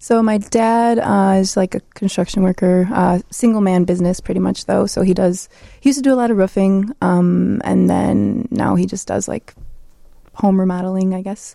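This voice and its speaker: Someone with a Chicago accent speaks at a moderate pace. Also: woman. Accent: Chicago American. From Chicago, Southwest Side. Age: 20s. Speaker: graffiti artist. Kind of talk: interview.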